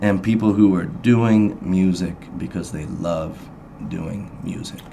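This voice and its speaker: Speaking very slowly with an American accent, a man shows ordinary pitch variation and big swings in loudness, with audible room echo around him. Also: fairly low pitch for a man. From Indiana, Hendricks County. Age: 40s. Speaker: blues musician. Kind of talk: radio interview. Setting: studio. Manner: halting.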